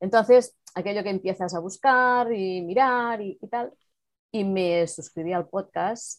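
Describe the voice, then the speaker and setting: A plain, everyday voice from a woman, medium in pitch with ordinary variation, at a fairly slow pace, with big swings in loudness. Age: 50s. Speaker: virtual assistant. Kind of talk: casual interview.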